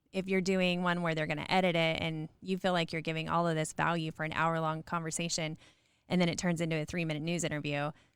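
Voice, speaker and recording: In a very clean recording with a silent background, a woman with a fairly low pitch talks very fast. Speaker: podcast host and firefighter. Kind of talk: coaching conversation. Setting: recorded podcast interview. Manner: animated.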